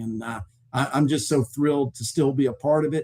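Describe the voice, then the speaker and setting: A dark, mellow tone carries speech at a moderate pace with ordinary pitch variation. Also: man. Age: 60s. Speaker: sports memorabilia company executive. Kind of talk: interview.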